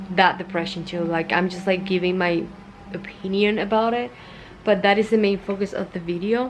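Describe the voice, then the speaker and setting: A woman with a Spanish accent, medium in pitch, in monotone, flat intonation over noticeable background noise. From Cuba. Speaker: vlogger. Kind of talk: personal vlog talk. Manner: casual, hesitant with fillers.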